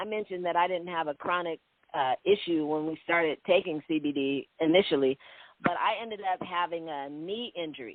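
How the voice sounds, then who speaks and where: A woman's ordinary speaking voice, fairly low in pitch, at a fairly quick pace with ordinary pitch variation. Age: 60s. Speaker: CBD business owner. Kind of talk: interview.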